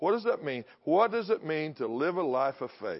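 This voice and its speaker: A man speaks in a Texan accent. His pitch is fairly high. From Texas. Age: 60s. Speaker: guest preacher. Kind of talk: sermon. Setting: church service.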